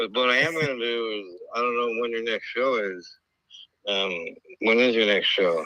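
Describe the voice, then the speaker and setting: Audible room echo surrounds the recording. A man speaks at a moderate pace. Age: 60s. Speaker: former baseball player. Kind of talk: casual chat. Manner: halting.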